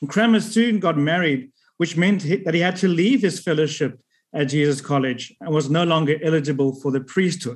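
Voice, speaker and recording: Fairly high in pitch for a man, his voice is an unremarkable speaking voice with ordinary pitch variation. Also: moderate pace. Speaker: church historian. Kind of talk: lecture. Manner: formal.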